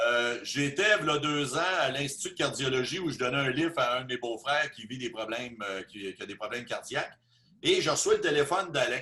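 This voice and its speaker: With a Quebec accent, a man speaks at a fairly quick pace and a fairly high pitch, with ordinary pitch variation. His loudness swings widely over noticeable background noise. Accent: Québécois French. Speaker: business presenter. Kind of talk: testimony. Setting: video call.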